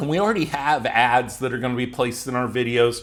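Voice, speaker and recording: A man speaks with an unremarkable speaking voice at a medium pitch, his pitch varying in an ordinary way. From United States. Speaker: YouTube growth coach. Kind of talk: tutorial.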